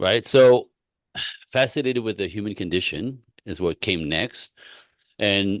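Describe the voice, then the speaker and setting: Against a quiet background, a man with a Quebec accent speaks at a fairly low pitch in a dry, close sound with no echo. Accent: Quebec Canadian. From Quebec City, Canada. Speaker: relationship coach. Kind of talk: interview. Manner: animated.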